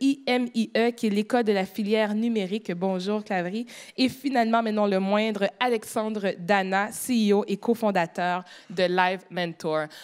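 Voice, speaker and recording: A speaker with a Quebec accent talks at a fairly slow pace in a very clean recording with a silent background. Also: woman. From Quebec, Montreal. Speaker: panel moderator. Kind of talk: moderated panel discussion. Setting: stage with audience.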